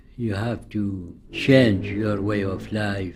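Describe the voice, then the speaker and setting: Very slow and somewhat breathy, a man speaks at a fairly low pitch in a monotone, flat intonation. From Iraq. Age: 80s+. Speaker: Sufi teacher. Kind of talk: interview answer.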